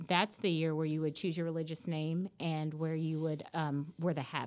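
An ordinary speaking voice from a woman, fairly low in pitch with an American accent and fairly even intonation, in a very clean recording with a silent background. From US South, Nashville, Tennessee. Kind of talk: interview.

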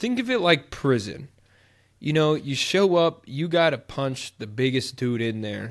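A man with an ordinary speaking voice and a fairly high pitch speaks at a fairly slow pace with lively intonation. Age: 20s. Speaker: podcast co-host. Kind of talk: casual chat.

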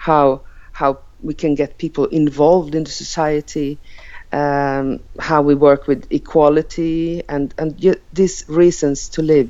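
At a fairly slow pace and in a monotone, flat intonation, a woman with a Finland-Swedish accent speaks at a very deep, low pitch. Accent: Finnish-Swedish accented English. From Åland Islands, Finland. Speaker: member of parliament. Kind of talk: casual interview. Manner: halting.

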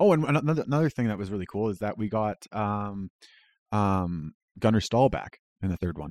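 With a Canadian accent and a normal speaking voice, a man speaks at a fairly quick pace and fairly low pitch with lively intonation, in a very clean recording with a silent background and a dry, close sound with no echo. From Canada. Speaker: podcast guest. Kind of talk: casual chat.

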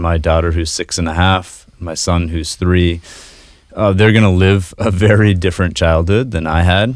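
Speech moves at a moderate pace. The background is silent and the recording very clean. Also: man, very deep, low pitch for a man, fairly even intonation. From Maine, US. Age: 30s. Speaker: podcast producer. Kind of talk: interview about personal mental health. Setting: studio.

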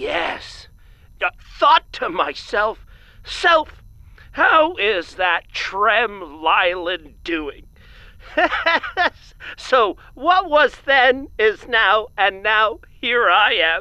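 A man in a put-on character voice, raised and projected and high-pitched, speaks very slowly with very wide pitch swings and long, frequent pauses. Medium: audio drama. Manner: rambling, folksy.

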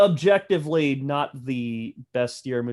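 Recorded very cleanly against a silent background, a man speaks with a slight Southern US accent. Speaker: film podcast guest. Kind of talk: casual chat.

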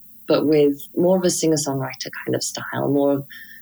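With a Welsh accent, a woman speaks in fairly even intonation at a very deep, low pitch. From Wales. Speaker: singer, violinist and composer. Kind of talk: casual interview. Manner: hesitant, many fillers.

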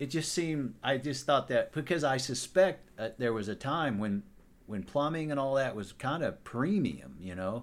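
A man with an American accent, medium pitch and an unremarkable speaking voice, lively intonation, moderate pace, on a very clean recording with a silent background. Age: 60s. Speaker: podcast host. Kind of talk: casual chat.

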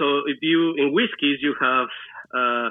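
A man with a Spanish accent speaks at a fairly high pitch. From Mexico, Celaya, Guanajuato. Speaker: mixologist and restaurant owner. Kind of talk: interview. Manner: halting.

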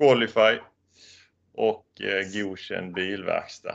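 Against a quiet background, a man is speaking. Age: 30s. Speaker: certification auditor. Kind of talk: interview.

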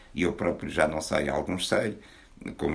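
A man's fairly quick speech with vocal fry. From Portugal, Porto. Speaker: poet. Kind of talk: book launch talk. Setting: bookshop with audience.

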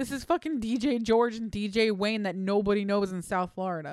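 Lively intonation marks this woman's fairly high-pitched voice at a moderate pace. The recording is very clean, with a silent background. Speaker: producer and co-host. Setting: live stream.

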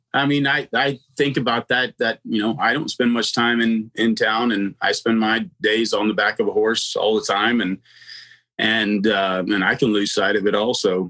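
In a very clean recording with a silent background and a dry, close sound without echo, a man with an American accent talks at a medium pitch and a moderate pace, with fairly even intonation and very even loudness. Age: 50s. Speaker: podcast host, horse trainer. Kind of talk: casual interview chat. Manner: halting, many fillers.

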